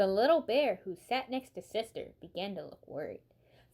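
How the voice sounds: Lively intonation runs through a natural reading voice.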